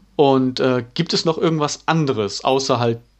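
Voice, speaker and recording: This is a normal speaking voice. It moves at a fairly slow pace with fairly even intonation. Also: man. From East Frisia, Emden. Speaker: podcast host. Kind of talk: casual chat.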